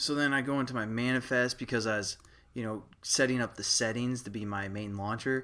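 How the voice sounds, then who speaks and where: A man mumbles at a fairly quick pace with a bright, sharp tone, medium pitch and ordinary pitch variation. The recording is very clean, with a silent background. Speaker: programming tutorial maker. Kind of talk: tutorial. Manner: casual, many fillers; mumbling.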